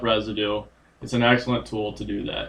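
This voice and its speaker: Quietly, a man is talking. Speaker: agronomist. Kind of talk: casual chat. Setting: livestream.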